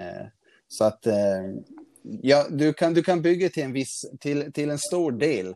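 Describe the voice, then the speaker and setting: The voice has a dark, mellow tone and comes through a very clean recording with a silent background. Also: man. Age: 30s. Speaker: calisthenics athlete. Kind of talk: interview. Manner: halting.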